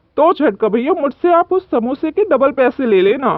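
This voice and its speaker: A high-pitched, cartoonish character voice. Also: moderate pace. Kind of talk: kids cartoon voice acting. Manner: boastful, cheerful.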